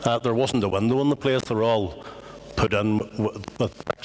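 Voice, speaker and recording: A man speaks in a Belfast accent. His pace is moderate. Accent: Belfast Northern Irish. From Northern Ireland, West Belfast. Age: 60s. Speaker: Irish language activist. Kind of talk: talk to an audience. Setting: meeting house with audience.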